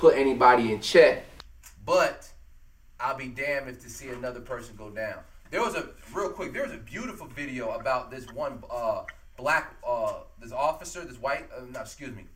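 A man with a plain, everyday voice speaks at a moderate pace and medium pitch, his loudness swinging widely. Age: 20s. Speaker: podcast host. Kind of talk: casual chat.

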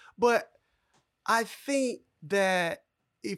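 The recording is very clean, dry and close, with no echo and a silent background. A man speaks with lively intonation. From Atlanta, Georgia. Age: 40s. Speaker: lawyer and state politician. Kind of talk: panel discussion.

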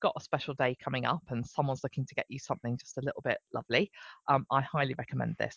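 Someone with an English accent talks at a fairly quick pace. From England. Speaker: fiction editor, podcast co-host. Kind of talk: casual educational chat.

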